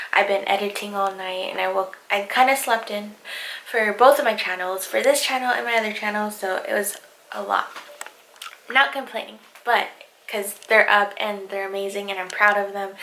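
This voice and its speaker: With fairly even intonation and a medium pitch, a woman talks at a moderate pace against noticeable background noise. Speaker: houseplant content creator. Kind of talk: casual talk to camera.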